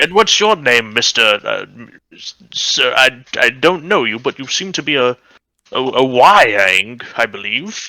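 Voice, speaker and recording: A man's put-on character voice at medium pitch, fairly slow, with very wide pitch swings. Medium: actual play. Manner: hesitant, wordy and lecturing.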